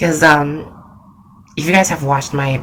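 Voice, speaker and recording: Noticeable background noise accompanies a woman speaking in a very deep, low pitch. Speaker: graphic designer. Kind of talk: casual talk to camera.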